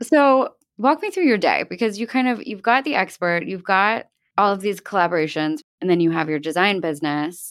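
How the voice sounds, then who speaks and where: The recording is very clean, with a silent background, as a woman talks in a Mid-Atlantic accent at medium pitch. Her pitch swings very widely at a fairly quick pace. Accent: American, Mid-Atlantic. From US Northeast, outside Philadelphia. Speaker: podcast host, interior designer. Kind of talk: interview, casual chat.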